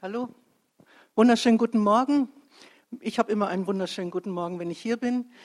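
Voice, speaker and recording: A woman talks very fast at a fairly high pitch, with ordinary pitch variation and long, frequent pauses. The sound is dry and close with no echo, over a quiet background. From Bremen, Germany. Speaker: churchgoer giving a live testimony. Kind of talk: live testimony. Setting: church stage with audience. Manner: chatty, lively, rambling.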